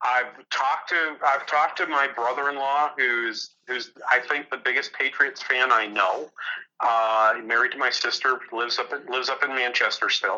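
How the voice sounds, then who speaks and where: Bright and sharp in tone, a man with an American accent speaks with fairly even intonation. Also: medium pitch for a man, moderate pace. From New Hampshire, US. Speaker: economics professor. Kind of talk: interview.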